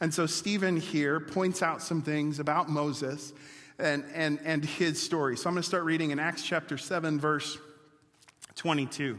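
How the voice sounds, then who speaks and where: A man with an American accent speaks at a fairly high pitch, his intonation fairly even. His loudness stays very even, and the room echo is audible. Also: moderate pace. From Wisconsin. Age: 40s. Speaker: pastor. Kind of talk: sermon.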